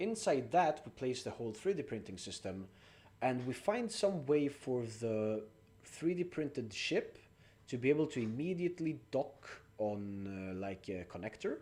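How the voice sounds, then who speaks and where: This man has a dark, mellow tone and a non-native accent. His pitch moves in very wide swings. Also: medium pitch for a man, moderate pace. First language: not English. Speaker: game streamer. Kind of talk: live gameplay stream chat. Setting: live stream with chat.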